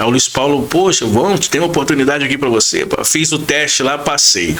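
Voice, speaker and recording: Here a man sounds animated, with a fairly high pitch. He speaks at a moderate pace with lively intonation. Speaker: radio announcer. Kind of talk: podcast interview. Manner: casual, animated storytelling.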